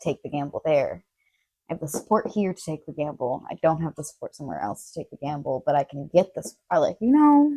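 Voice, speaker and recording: Woman at a fairly quick pace, big swings in loudness, dry, close sound with no echo. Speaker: podcast guest. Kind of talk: casual chat. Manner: fast.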